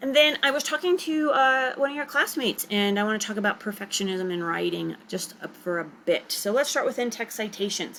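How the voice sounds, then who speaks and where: Moving at a fairly quick pace, a woman speaks at a fairly high pitch with very wide pitch swings. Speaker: writing teacher. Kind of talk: recorded lecture. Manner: fast.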